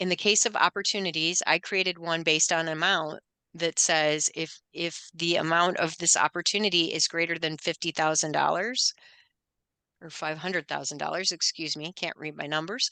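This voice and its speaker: Against a quiet background, a woman with a bright, sharp tone speaks at a fairly low pitch with fairly even intonation. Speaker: software demo presenter. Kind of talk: tutorial. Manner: fast.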